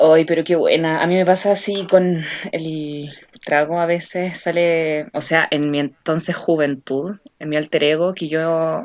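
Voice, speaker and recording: A woman speaks in a Chilean accent with a very deep, low pitch. Her pace is fairly slow and her intonation monotone and flat. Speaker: podcast co-host. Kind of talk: casual chat.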